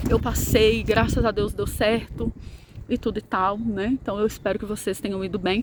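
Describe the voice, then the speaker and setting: A woman's fairly high-pitched, monotone, flat voice at a moderate pace, over noticeable background noise. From Brazil, Minas Gerais. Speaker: math teacher. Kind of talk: casual vlog; sales pitch. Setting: outdoors. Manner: soft-spoken.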